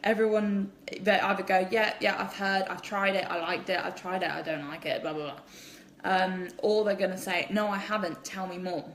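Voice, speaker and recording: A woman with an English accent and a medium-pitched voice talks at a moderate pace, with audible room echo and noticeable background noise. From England. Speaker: direct sales distributor. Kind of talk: live social media Q&A. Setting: at home, live stream. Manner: animated; kept quiet.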